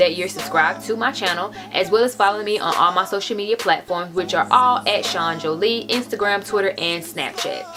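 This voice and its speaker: A woman talks at a medium pitch with ordinary pitch variation. Music plays behind her. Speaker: beauty vlogger. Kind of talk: casual vlog chat. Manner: fast.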